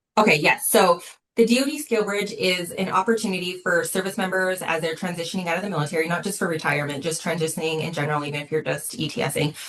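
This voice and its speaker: A woman with an American accent talks at a very fast pace with hardly any pauses, using a fairly low pitch and ordinary pitch variation. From Utah. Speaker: war veteran. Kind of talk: interview. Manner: frequent fillers.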